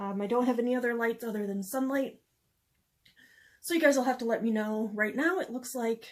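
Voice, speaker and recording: At a fairly quick pace, a woman with a fairly high pitch and ordinary pitch variation speaks with long, frequent pauses. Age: 40s. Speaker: beauty vlogger. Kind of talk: casual talk to camera. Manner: chatty, relaxed.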